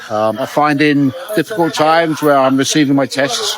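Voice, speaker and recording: A man with a fairly high voice talks at a moderate pace while music plays in the background. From United Kingdom. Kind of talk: street interview. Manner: halting, hesitant.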